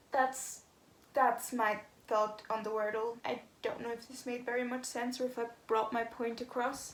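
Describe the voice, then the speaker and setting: A woman with a fairly high voice talks at a moderate pace in a flat monotone, with noticeable background noise. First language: not English. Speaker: vlogger. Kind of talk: casual vlog monologue. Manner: hesitant, many fillers.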